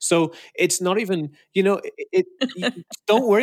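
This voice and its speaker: In a very clean recording with a silent background, a man speaks with a north Welsh accent in dry, close sound with no echo. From Wales, Anglesey. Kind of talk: interview.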